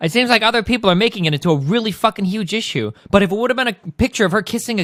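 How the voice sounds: This is a natural reading voice. It reads the words aloud.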